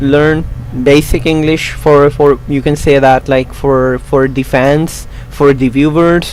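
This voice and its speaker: Amid noticeable background noise, a man talks at a fairly slow pace in a fairly high, monotone, flat voice. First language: not English. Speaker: YouTube tutorial creator. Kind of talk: tutorial. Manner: halting.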